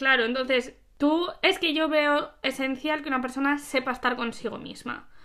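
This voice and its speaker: The voice is raised and projected, with a bright, sharp tone. Its intonation stays fairly even at a moderate pace. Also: woman, high pitch for a woman. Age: 20s. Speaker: host's best friend. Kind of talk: casual chat. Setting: recording at home together.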